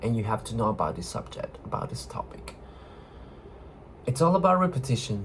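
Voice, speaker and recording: The speaker is a man. He has a non-native accent. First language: not English. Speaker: video blogger. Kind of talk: casual monologue. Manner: halting.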